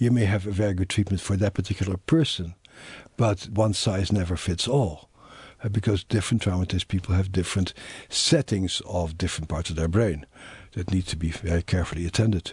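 Against a quiet background, a man with a very deep, low pitch speaks at a fairly quick pace, somewhat breathy and with ordinary pitch variation. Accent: Dutch. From Netherlands. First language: Dutch. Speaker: psychiatrist and trauma author. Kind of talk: interview.

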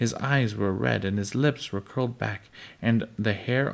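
The text is plainly read aloud. Its pitch varies in an ordinary way.

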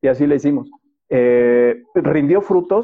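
A man with an ordinary speaking voice talks fairly slowly at a fairly high pitch, with ordinary pitch variation. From Mexico City, moved around Mexico. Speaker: financial advisor. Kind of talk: interview.

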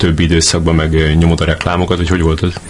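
A man's very deep, low voice over noticeable background noise. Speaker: podcast host. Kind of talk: casual interview. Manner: hesitant, many fillers.

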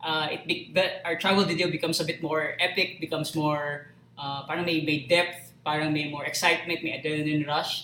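Over noticeable background noise, a man with a fairly high pitch rattles on at a fairly quick pace in a monotone, flat delivery with hardly any pauses. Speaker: live stream host. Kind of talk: casual chat. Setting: live stream.

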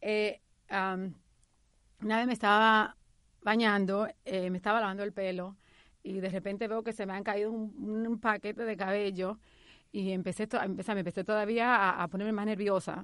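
The woman's voice sits at a medium pitch, with monotone, flat intonation and a moderate pace. The background is quiet. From Dominican Republic. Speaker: psychotherapist and health coach. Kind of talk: interview testimony. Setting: studio.

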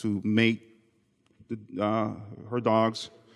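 Slow-paced speech from a man with a clear, smooth tone

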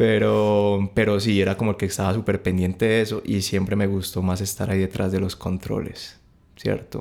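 Speaking at a moderate pace with very even loudness, a man keeps a fairly low pitch and a monotone, flat intonation in a very clean recording with a silent background. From Colombia, mostly Valle del Cauca (Cali). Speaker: music production graduate. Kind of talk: casual chat.

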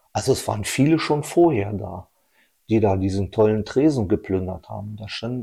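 At a moderate pace, a man speaks with lively intonation in a dark, mellow, somewhat breathy tone on a very clean recording with a silent background. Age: 50s. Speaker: technical civil servant and amateur cyclist. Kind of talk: casual conversation.

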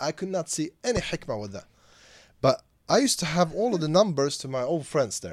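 With a Swedish accent, a man talks at a fairly quick pace and a fairly high pitch, with very wide pitch swings, big swings in loudness, and long, frequent pauses on a very clean recording with a silent background. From Sweden. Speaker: Islamic scholar and teacher. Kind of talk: interview.

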